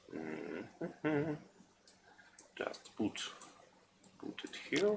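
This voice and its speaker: A man with a non-native accent talks over noticeable background noise. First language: not English. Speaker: gaming streamer. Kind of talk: live gameplay stream commentary. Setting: live stream.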